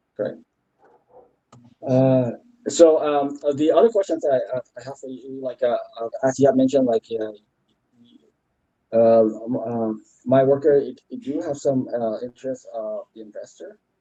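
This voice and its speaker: With big swings in loudness, a man speaks at a moderate pace. He leaves long, frequent pauses. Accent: slight French. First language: French. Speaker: CTO candidate. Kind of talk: job interview. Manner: halting, many fillers.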